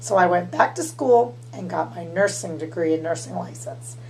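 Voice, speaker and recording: Someone with an American accent speaks at a moderate pace with very wide pitch swings, over noticeable background noise and audible room echo. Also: woman. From Massachusetts and Louisiana. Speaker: vlogger and school nurse. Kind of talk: casual vlog.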